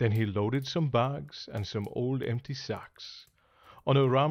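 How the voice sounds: A natural reading voice with ordinary pitch variation carries the clip.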